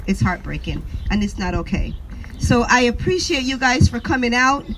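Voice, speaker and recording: Speaking with a Jamaican accent, a woman uses lively intonation and a high pitch. She keeps a moderate pace over noticeable background noise. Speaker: activist mother. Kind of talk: protest speech. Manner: impromptu.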